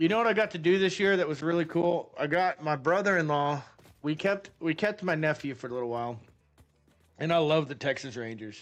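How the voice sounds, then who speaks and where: This man speaks with lively intonation. The background is quiet. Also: fairly high pitch for a man. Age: 40s. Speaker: gaming livestreamer. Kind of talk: casual live-stream chat while gaming. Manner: animated.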